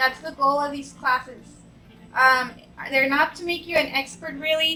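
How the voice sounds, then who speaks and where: A woman's raised, projected voice, high in pitch, with fairly even intonation at a moderate pace. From Mexico. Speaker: art instructor, high school math teacher. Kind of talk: painting tutorial. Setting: home studio with background music. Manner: chatty, code-switching English and Spanish.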